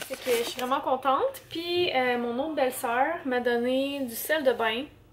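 A woman talks at a very slow pace with a high pitch. Noticeable background noise runs underneath. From Quebec. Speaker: family vlogger. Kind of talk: casual vlog talk to camera. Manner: chatty, hesitant with fillers.

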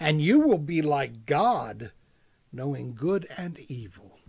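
The man's voice is somewhat breathy. He talks at a fairly slow pace with lively intonation. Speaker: preacher, church message speaker. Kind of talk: sermon delivered to camera. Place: office. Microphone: webcam.

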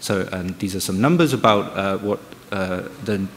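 A man with a normal speaking voice talks at a moderate pace and a fairly low pitch over light background noise. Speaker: research project manager. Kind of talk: conference presentation. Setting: stage with audience. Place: hall.

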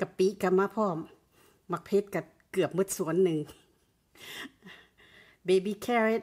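A woman speaks with fairly even intonation and very even loudness. The background is quiet. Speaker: mukbang / ASMR eating channel host. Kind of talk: casual talk to camera. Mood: cheerful, smiling.

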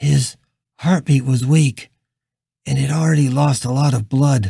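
A man's raspy, put-on character voice, medium in pitch, at a moderate pace.

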